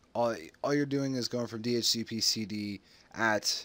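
A man at medium pitch speaks at a fairly slow pace with a bright, sharp tone. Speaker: tech YouTuber. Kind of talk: exasperated rant at dismissive forum helpers. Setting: home screen recording. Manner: frustrated, rhetorical questions building to indignant scolding; casual, rambling with fillers and self-repeats.

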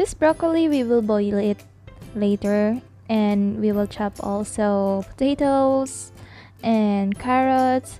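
A woman speaks at a very slow pace with ordinary pitch variation and very even loudness. The sound is dry with no echo, and music plays in the background. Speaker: cooking vlog host. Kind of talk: casual voiceover narration.

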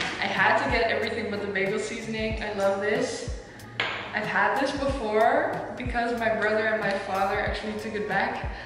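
Strong room echo and noticeable background noise surround a woman talking at a moderate pace. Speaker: vlogger. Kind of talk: casual vlog chat. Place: kitchen. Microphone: camera far.

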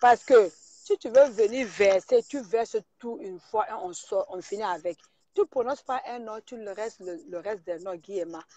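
The pace is moderate. The sound is dry with no echo, and the background is quiet. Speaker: caller. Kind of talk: heated debate. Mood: indignant, scolding. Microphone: phone near.

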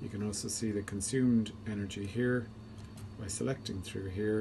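Fairly quick speech against loud background noise. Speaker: homeowner demonstrating controller. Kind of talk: tutorial. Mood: calm, explanatory. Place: home room. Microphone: phone near.

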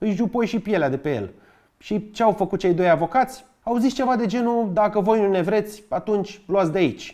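A man's high-pitched voice with a dark, mellow tone and a Bucharest accent, ordinary pitch variation, moderate pace, and a quiet background. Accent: Bucharest Romanian. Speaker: history YouTuber. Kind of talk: scripted narration; humorous educational narration. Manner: lively, joking. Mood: wry, joking.

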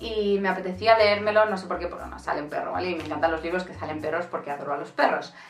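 A woman is speaking. Audible room echo surrounds her voice. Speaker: book youtuber. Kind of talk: casual book review vlog. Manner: very fast; animated. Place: home room.

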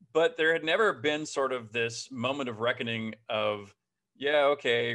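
Against a quiet background, a man speaks with a bright, sharp tone and fairly even intonation. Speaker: interviewee. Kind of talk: interview answer. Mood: reflective, warm. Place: home room. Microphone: webcam.

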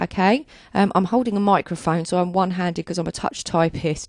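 A woman talks at a fairly quick pace. The sound is dry with no echo, and the background is quiet. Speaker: software tutorial narrator. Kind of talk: tutorial. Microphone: handheld.

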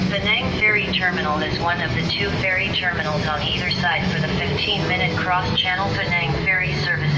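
Speech moves at a moderate pace with hardly any pauses. Loud background noise is present throughout. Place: bus.

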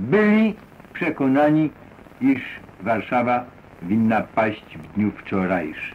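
Very slow, with long, frequent pauses, a man's pitch swings very widely. Light background noise is audible. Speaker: army officer, head of propaganda. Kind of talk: wartime radio address. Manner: informal, ironic, with hesitations. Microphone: old recording.

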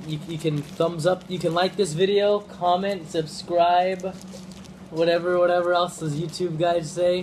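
With light background noise behind him, a man speaks in a high pitch at a fairly slow pace with fairly even intonation. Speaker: live streamer. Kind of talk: casual vlog chat. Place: kitchen. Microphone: phone near.

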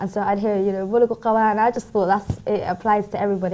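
Monotone, flat intonation in a London accent, with noticeable background noise. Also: woman. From London, England. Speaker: youth worker and graduate. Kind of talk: studio interview. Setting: TV studio.

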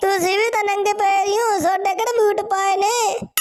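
Putting on a character voice, a woman speaks at an extremely high pitch with monotone, flat intonation. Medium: comedy sketch. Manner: cheeky, complaining.

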